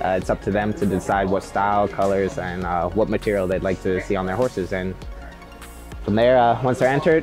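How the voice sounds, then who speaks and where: As clear music plays in the background, a man keeps a fairly quick pace. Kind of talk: casual tour chat. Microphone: lapel.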